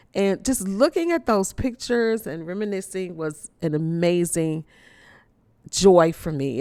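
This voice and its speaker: A plain, everyday voice with an American accent and lively intonation, on a very clean recording with a silent background. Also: woman. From Chicago, US Midwest. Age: 50s. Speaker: podcast host. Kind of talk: personal reflection to listeners. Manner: warm, conversational.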